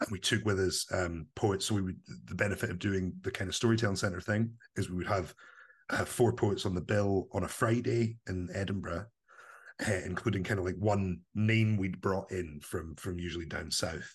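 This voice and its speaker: A man with a central Scottish accent and a fairly low pitch speaks at a moderate pace in a somewhat breathy voice against a quiet background. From Scotland, Livingston (West Lothian). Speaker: spoken word producer and performance poet. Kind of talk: casual interview. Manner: animated.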